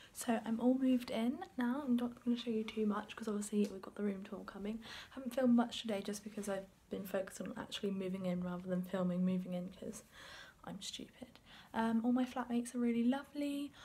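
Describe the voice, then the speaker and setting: A woman races along at a very fast pace, her dark, mellow tone somewhat breathy, with ordinary pitch variation. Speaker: university student vlogger. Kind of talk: casual vlog chat. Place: home room. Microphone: phone near.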